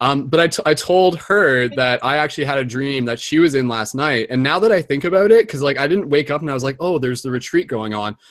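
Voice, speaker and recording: The delivery is very fast, with hardly any pauses. The tone is animated and the intonation lively. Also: man, fairly high pitch for a man. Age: 30s. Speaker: host of spiritual community video hangout. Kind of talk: casual group video chat. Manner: animated, filler-heavy.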